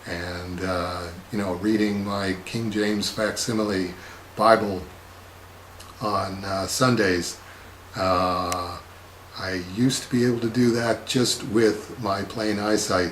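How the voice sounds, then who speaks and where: Through noticeable background noise and audible room echo, a man with a fairly low pitch speaks at a very slow pace with fairly even intonation and long, frequent pauses. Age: 60s. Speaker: comics artist. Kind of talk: casual monologue answering viewer questions. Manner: halting, many filler words.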